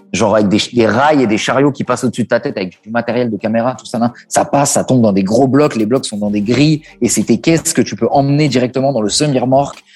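A man speaks in a normal speaking voice at medium pitch. His pace is fairly quick, with ordinary pitch variation. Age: 30s. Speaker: music video director. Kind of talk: interview, casual chat.

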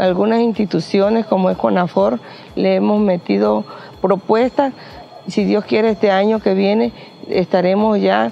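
Noticeable background noise sits behind the recording. A woman speaks fairly slowly over it. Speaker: community member. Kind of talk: interview.

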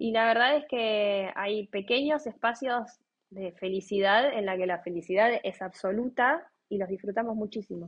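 Speaking at a fairly slow pace with hardly any pauses, a woman with a Rioplatense accent keeps a fairly high pitch and ordinary pitch variation. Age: 30s. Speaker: lawyer and mother of a child with a rare disease. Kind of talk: interview, personal testimony. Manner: hesitant, many fillers and repetitions.

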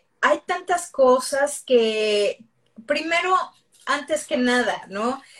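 The pace is very slow. The intonation stays lively throughout. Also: woman. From Mexico City. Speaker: dentist and business coach. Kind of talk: interview on a livestream.

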